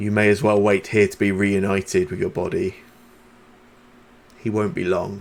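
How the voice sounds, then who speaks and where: A man uses a booming, put-on character voice at a fairly low pitch with fairly even intonation. He keeps a moderate pace, with long, frequent pauses. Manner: menacing, ominous.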